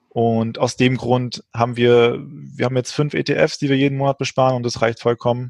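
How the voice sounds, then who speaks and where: A man with a medium pitch talks at a moderate pace in fairly even intonation, the sound dry and close with no echo. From Frankfurt, Germany. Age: 20s. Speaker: financial education startup founder. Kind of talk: interview conversation. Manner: halting.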